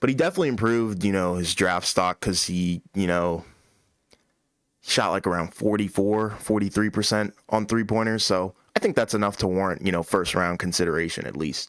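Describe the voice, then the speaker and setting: This man has an unremarkable speaking voice, pitched fairly low, with ordinary pitch variation. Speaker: basketball podcast host. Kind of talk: casual chat.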